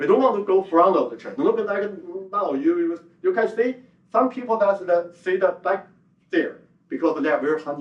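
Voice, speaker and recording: With a Chinese accent, a man speaks at a moderate pace in a high pitch with lively intonation. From China. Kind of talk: conference presentation. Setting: conference hall with audience. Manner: halting, many fillers.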